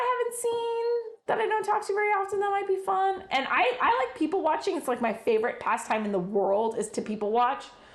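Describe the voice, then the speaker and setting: A loud voice with very wide pitch swings. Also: woman. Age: 40s. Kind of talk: casual chat.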